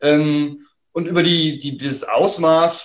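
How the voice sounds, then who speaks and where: A man's voice at a fairly high pitch. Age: 50s. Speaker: historian, professor, book author. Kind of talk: interview about his book. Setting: online video conversation.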